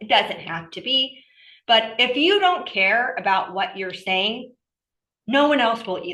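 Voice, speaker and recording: A woman with an American accent speaks at a moderate pace. Her fairly high voice has a bright, sharp tone. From Southern California. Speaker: workshop speaker, scientist. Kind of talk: workshop presentation. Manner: animated.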